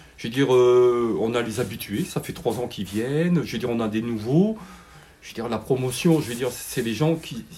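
Noticeable background noise runs behind a man whose medium-pitched voice shows ordinary pitch variation. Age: 60s. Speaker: retired refinery worker, club committee member. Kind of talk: interview.

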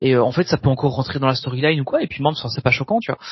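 A somewhat breathy man's voice with a fairly high pitch. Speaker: podcast co-host. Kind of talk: casual chat.

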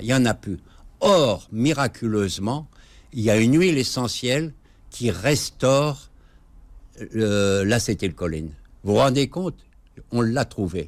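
A man's lively intonation at a very slow pace, broken by long, frequent pauses, on a very clean recording with a silent background. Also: medium pitch for a man. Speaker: physician and natural medicine author. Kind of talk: interview. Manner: halting.

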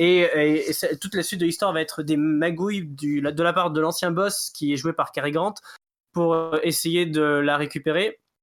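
High-pitched for a man, this voice moves at a moderate pace with fairly even intonation on a very clean recording with a silent background. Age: 20s. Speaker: music podcast co-host. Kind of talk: casual chat. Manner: halting.

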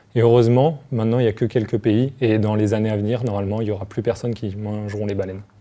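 A man's fairly low, dark and mellow voice, very fast with hardly any pauses, monotone and flat, over a quiet background. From Paris region, France. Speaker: marine bioacoustician. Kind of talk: explaining science to children. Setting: TV studio set.

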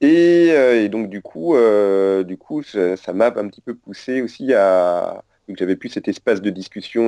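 This man speaks at a fairly low pitch with a dark, mellow tone. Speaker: author of a book. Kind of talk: interview.

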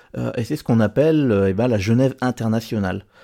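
A man with a dark, mellow tone speaks at a medium pitch and a fairly quick pace, his intonation lively. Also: very clean recording, silent background. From Normandy, France. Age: 20s. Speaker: television broadcast engineer. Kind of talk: recorded personal testimony.

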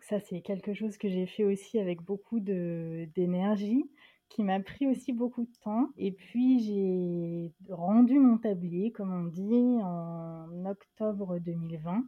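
Her loudness shifts in big swings as she speaks. The woman, at medium pitch, keeps a very slow pace. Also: ordinary pitch variation. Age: 30s. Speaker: university student-life manager, book instagrammer. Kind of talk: casual interview chat. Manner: halting, frequent repetitions and hesitations.

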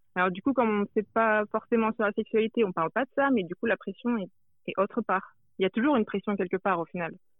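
This woman's pitch sits fairly high and varies in an ordinary way. She talks very fast. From France. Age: 20s. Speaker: anonymous interviewee, social media account creator. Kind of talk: interview. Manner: hesitant.

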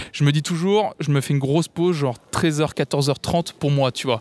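In a dry, close recording with no echo, a man with an ordinary speaking voice talks at a fairly high pitch, a moderate pace and ordinary pitch variation. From France, Tours. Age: 20s. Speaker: music streamer. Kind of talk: casual interview.

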